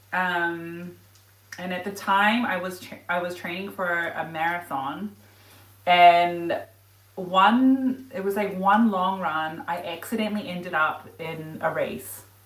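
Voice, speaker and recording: Very slowly, a woman with a fairly low pitch speaks with ordinary pitch variation and big swings in loudness, audible room echo around her. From New Zealand. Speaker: running and lifestyle vlogger. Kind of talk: casual livestream cooking chat. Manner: casual, chatty with filler words.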